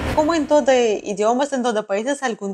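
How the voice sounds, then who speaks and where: A woman with a Russian accent talks at a moderate pace in a dry, close sound with no echo. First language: Russian (speaking Spanish). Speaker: traveler. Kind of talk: interview. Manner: halting.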